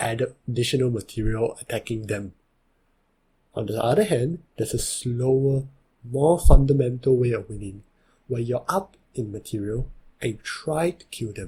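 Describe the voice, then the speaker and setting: Somewhat breathy male voice of medium pitch, dark and mellow in tone, at a moderate pace. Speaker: Chinese chess tutor. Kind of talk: game tutorial narration.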